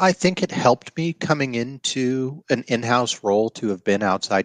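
Against a quiet background, a man with an American accent has an unremarkable speaking voice, moving at a moderate pace with lively intonation in a dry, close sound with no echo. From Colorado. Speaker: university executive and lawyer. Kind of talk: interview.

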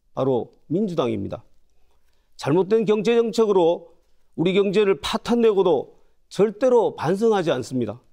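A man's high-pitched voice, dark and mellow in tone, at very even loudness and a fairly slow pace, over a quiet background. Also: lively intonation. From South Korea, North Gyeongsang (Uljin); North Gyeongsang, South Korea. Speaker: parliamentary candidate; candidate. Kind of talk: campaign speech. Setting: studio. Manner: formal. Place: studio.

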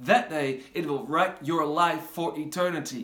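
Audible room echo surrounds a man speaking in an animated tone. He has a Dutch accent. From Netherlands. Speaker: pastor. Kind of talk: promotional video message. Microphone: phone near.

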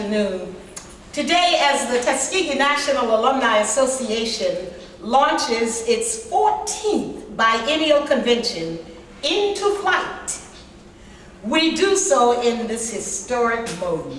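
Very slowly and in a high pitch, a woman speaks with very wide pitch swings, amid audible room echo and light background noise. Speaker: master of ceremonies. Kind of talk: ceremonial speech. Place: meeting room. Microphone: camera far.

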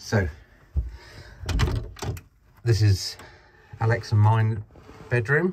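A somewhat breathy voice over light background noise. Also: man. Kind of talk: casual vlog chat. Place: boat. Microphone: phone near.

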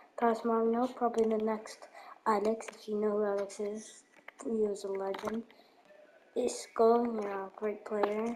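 A woman speaks at a fairly slow pace and fairly high pitch, with monotone, flat intonation. Noticeable background noise runs underneath. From Turkey. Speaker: gaming YouTuber. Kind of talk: gameplay commentary. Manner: casual, hesitant with fillers.

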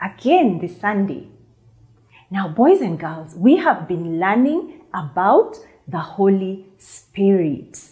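Somewhat breathy, a woman talks at a very slow pace with very wide pitch swings against a quiet background. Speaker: children's church teacher. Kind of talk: lesson to children. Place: studio. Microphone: lapel.

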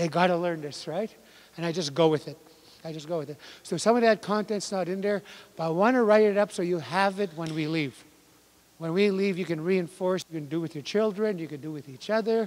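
A man with a high pitch talks at a fairly quick pace. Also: ordinary pitch variation. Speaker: language workshop instructor. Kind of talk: lecture. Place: hall. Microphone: handheld.

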